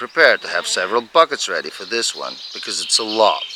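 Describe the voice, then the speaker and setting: There is noticeable background noise while this man talks at a middling speed. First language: Dutch. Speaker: hobby farmer restoring a tractor. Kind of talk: tutorial narration.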